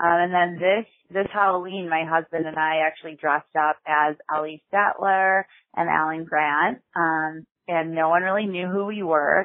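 A woman's normal speaking voice, fairly low in pitch, at a moderate pace with fairly even intonation. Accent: American. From Chicago, US Midwest. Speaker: podcast listener leaving a voicemail. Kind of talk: voicemail message.

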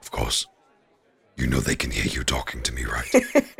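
A man puts on a character voice with a very deep, low pitch. It is raspy and comes at a moderate pace. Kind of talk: hushed whisper. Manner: dry, wry, knowing.

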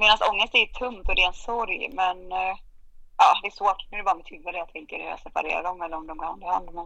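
A woman's medium-pitched, bright, sharp voice at a very fast pace, with ordinary pitch variation and big swings in loudness. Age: 30s. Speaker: podcast guest sharing depression story. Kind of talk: casual chat. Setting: remote recording. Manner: animated. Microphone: poor sound at times.

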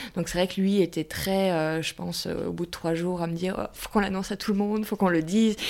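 The delivery is very fast and monotone, with flat intonation. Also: woman, medium pitch for a woman. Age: 30s. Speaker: widowed mother. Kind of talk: personal testimony interview.

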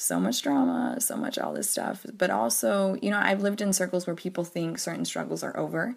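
Over noticeable background noise, a woman with an American accent talks at a fairly quick pace with hardly any pauses. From US South (Georgia, Arkansas, North Carolina). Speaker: education advocate. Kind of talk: recorded voice memo.

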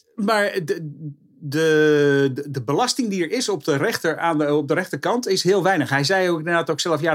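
Speaking at a fairly quick pace, the man has a fairly high pitch and ordinary pitch variation. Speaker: motorsport pundit. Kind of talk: casual chat. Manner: halting.

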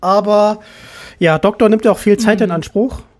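A woman's voice at medium pitch, with ordinary pitch variation and a moderate pace. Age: 20s. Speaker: podcast host. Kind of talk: casual chat.

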